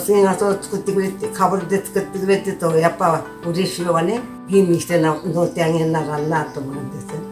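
Clear music plays in the background. A woman with a fairly low pitch speaks with fairly even intonation. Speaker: traditional sedge hat craftswoman. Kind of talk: interview answer. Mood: warm, content. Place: home room.

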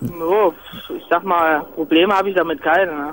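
Through noticeable background noise comes a man's voice with a high pitch. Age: 20s. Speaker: truck driver. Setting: in a car, hands-free.

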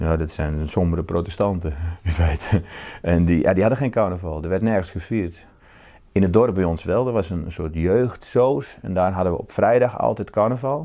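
A dark, mellow tone comes through over a quiet background. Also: man, very deep, low pitch for a man, ordinary pitch variation, moderate pace. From Netherlands, northern Brabant. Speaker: novelist. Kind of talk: interview. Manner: halting, repeats words. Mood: calm, reflective. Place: home room. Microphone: lapel.

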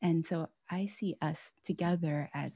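A woman's fairly low, somewhat breathy voice with a dark, mellow tone and fairly even intonation, in a dry sound with no echo. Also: quiet background. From US (Pennsylvania and Washington State); US. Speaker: author. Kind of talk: book talk conversation. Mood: warm, earnest. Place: home room. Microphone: video call.

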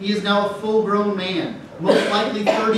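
Over light background noise and strong room echo, a man speaks at a moderate pace in a high-pitched, flat monotone. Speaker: priest preaching. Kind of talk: sermon. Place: church.

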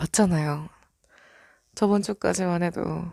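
Recorded very cleanly against a silent background, a woman speaks at a fairly low pitch with ordinary pitch variation, the sound dry and close with no echo. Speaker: ASMR roleplay voice actress. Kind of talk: heated lovers' quarrel roleplay, scripted. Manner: animated, punctuated by laughs, ends up softening.

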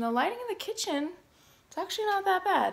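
A woman's voice moves with ordinary pitch variation. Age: 30s. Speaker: fitness vlogger. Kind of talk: casual vlog. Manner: animated. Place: home room. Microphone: phone near.

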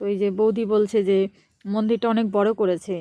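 A woman with a fairly high pitch and a dark, mellow tone speaks against a quiet background, the sound dry and close with no echo. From West Bengal, Nadia district. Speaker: vlogger. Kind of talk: travel vlog narration. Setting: outdoors. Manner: chatty.

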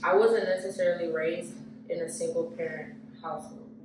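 The speech moves at a fairly quick pace, with noticeable background noise and audible room echo. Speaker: podcast host. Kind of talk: casual chat. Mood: reflective, earnest. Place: empty room. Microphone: camera far.

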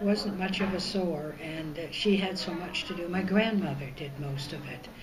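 A woman with a Canadian accent speaks at a fairly slow pace, her pitch medium with ordinary variation. Noticeable background noise can be heard. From northern British Columbia, Canada. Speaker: oral history interviewee. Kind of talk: interview answer. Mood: calm, reminiscing. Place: hall. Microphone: camera far.

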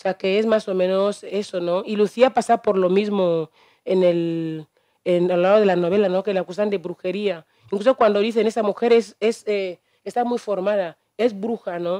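A woman's dark, mellow tone with fairly even intonation, dry, close sound with no echo and a quiet background. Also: medium pitch for a woman, moderate pace. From Equatorial Guinea, Evinayong. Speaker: novelist. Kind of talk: book presentation talk.

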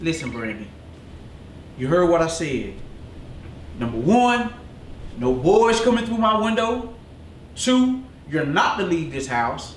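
Audible room echo and light background noise accompany a man's high pitch at a fairly slow pace. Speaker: actor playing a strict father in uniform. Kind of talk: scripted drama dialogue. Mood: stern, scolding. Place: home room.

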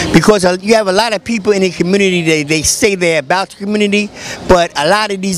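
A man's high-pitched voice with ordinary pitch variation, dry and echo-free, over light background noise. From New York. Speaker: community activist and street bookseller; street bookseller. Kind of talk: casual street talk. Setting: outdoors on a street. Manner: halting, many fillers. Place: street. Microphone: handheld.

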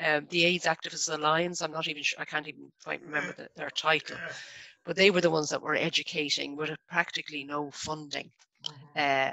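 A woman speaks at a fairly quick pace in a very deep, low pitch with monotone, flat intonation. The sound is dry, with no echo. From Ireland, Dublin. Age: 50s. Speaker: local government staff network founder; guest. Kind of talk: radio interview. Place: home room. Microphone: video call.

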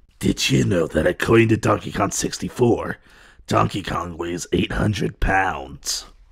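A put-on character voice from a man, pitched very deep and low, delivered at a moderate pace. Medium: dub. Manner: playful.

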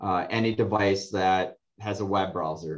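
Over a quiet background, a man with a normal speaking voice talks at a fairly low pitch with fairly even intonation. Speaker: panelist. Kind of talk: interview answer. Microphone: video call.

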